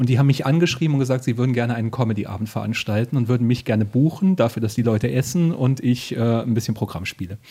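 Somewhat breathy, the voice moves at a very fast pace with hardly any pauses and ordinary pitch variation. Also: man, medium pitch for a man. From northern Hesse, Germany. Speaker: podcast host and comedian. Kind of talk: casual chat. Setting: living room at night.

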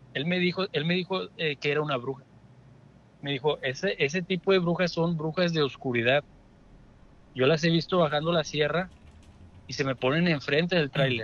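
This man speaks at a moderate pace with a fairly high pitch and ordinary pitch variation, leaving long, frequent pauses. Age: 20s. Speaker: caller. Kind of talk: phone-in storytelling. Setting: phone call.

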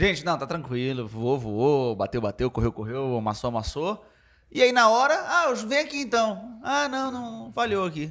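His pitch rises and falls very widely. The man keeps a moderate pace throughout. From Belém do Pará, Brazil. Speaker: podcast guest, member of a comedy group. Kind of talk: casual comedic chat. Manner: halting, repetitive.

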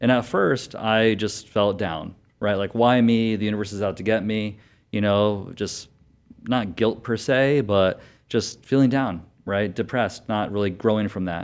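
With an ordinary speaking voice, a man talks at a fairly low pitch and fairly slow pace, his intonation fairly even over a quiet background. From Connecticut. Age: young. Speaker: doctor. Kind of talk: interview.

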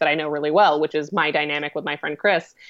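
A woman's very deep, low voice, very fast, with fairly even intonation. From Colorado, US. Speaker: web series creator and actress. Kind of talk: casual interview.

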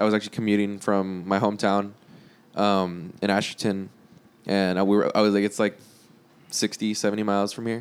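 A man with a fairly low pitch speaks at a moderate pace with an American accent. His intonation is monotone and flat, broken by long, frequent pauses. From South Texas. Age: 20s. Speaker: guitarist and singer in a band. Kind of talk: casual chat.

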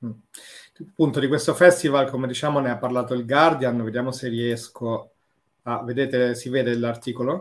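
A man at a medium pitch, fairly quick pace, and fairly even intonation, with long, frequent pauses, in a very clean recording with a silent background. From Rome. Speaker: podcast host. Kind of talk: casual interview chat.

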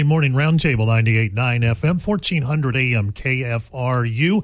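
A man with a somewhat breathy, medium-pitched voice speaks with hardly any pauses, very wide pitch swings, and very even loudness. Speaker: radio host. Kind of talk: casual chat. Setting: studio.

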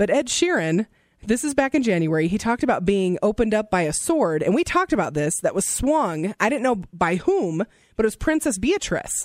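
In an American accent, the speaker races along at a very fast pace with an animated tone and very wide pitch swings, on a very clean recording with a silent background. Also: woman. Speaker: radio co-host. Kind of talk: radio DJ patter: lively co-host banter and celebrity gossip. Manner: animated, excitable, conversational.

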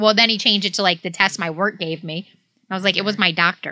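A woman with a Midwestern US accent speaks at a fairly quick pace in a bright, sharp tone, medium in pitch with fairly even intonation. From southeast Michigan, Detroit area. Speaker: podcast co-host. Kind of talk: casual chat.

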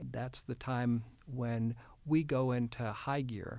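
A man with an American accent speaks at a medium pitch with a dark, mellow tone and fairly even intonation in a very clean recording with a silent background. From Houston, Texas. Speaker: state health official, physician. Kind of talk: interview.

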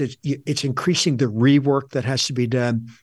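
At a moderate pace, a man with an unremarkable speaking voice talks in a medium pitch with fairly even intonation. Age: 60s. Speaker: author and leadership consultant. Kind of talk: interview.

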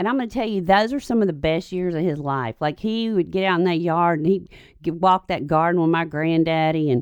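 With an American accent, a woman talks at a fairly quick pace in an ordinary speaking voice, her pitch fairly low against a quiet background. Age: 50s. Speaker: parenting commentator. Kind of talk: casual chat.

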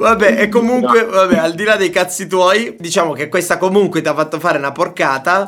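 A man with a high pitch and a bright, sharp tone talks at a fairly quick pace, with ordinary pitch variation and hardly any pauses. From Sicily and Tuscany, Italy. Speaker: radio call-in show host. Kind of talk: casual call-in banter. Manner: animated.

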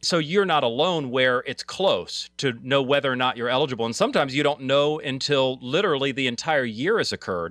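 Fairly high in pitch, a man with an ordinary speaking voice talks at a fairly quick pace. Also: ordinary pitch variation. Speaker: financial advisor co-host. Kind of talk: call-in radio advice show. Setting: studio.

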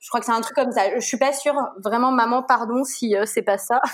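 With ordinary pitch variation, the speech proceeds at a moderate pace. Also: woman. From Brittany, France. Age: 30s. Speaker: pediatric nurse and mother. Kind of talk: casual interview. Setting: remote call. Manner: chatty, hesitant with fillers.

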